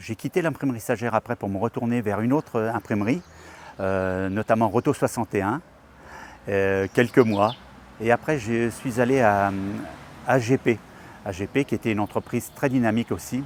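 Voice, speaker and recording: With long, frequent pauses, a man speaks at a moderate pace and medium pitch with ordinary variation, the sound dry and close with no echo. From France, Perche region (Eure-et-Loir). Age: 60s. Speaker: retired craftsman, local election candidate. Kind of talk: filmed personal portrait, testimony. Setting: outdoors in front of the town hall. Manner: hesitant, with repetitions and fillers.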